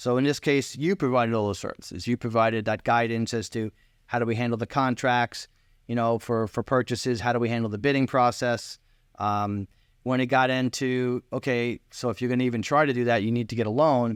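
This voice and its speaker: With a Long Island accent, a man of medium pitch speaks fairly quickly and with fairly even intonation. The sound is dry and close with no echo over a quiet background. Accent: New York, Long Island. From New York, Long Island. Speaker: client, relocated homebuyer. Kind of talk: casual interview. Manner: halting, repeats words.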